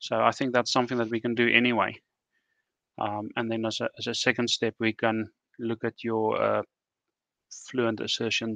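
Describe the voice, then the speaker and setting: With a bright, sharp tone and monotone, flat intonation, a man speaks at medium pitch and a moderate pace, leaving long, frequent pauses, in a dry sound with no echo and a quiet background. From South Africa. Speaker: software developer; guest. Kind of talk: technical discussion. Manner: halting. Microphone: video call.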